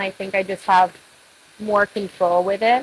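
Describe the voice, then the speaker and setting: Soft-spoken and at a medium pitch, a woman speaks at a moderate pace in a monotone, flat intonation over noticeable background noise. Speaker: hairstylist. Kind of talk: tutorial. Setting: live stream.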